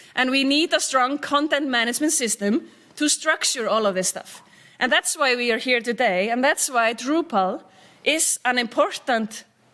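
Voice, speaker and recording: In an Icelandic accent, a raised, projected voice goes at a moderate pace with ordinary pitch variation. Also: woman, high pitch for a woman. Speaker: tech company CEO, keynote speaker. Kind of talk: conference keynote.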